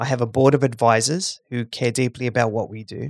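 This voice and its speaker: A man's normal speaking voice at medium pitch and a fairly quick pace. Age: 40s. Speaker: charity CEO and founder. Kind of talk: interview. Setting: remote call.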